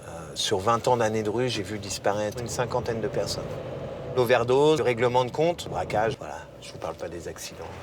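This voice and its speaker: Over noticeable background noise, a man speaks fairly quickly at a medium pitch with ordinary pitch variation, big swings in loudness, and long, frequent pauses. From Paris, 18th arrondissement. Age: 40s. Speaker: former drug addict giving testimony. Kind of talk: testimony. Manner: hesitant, many fillers and repetitions.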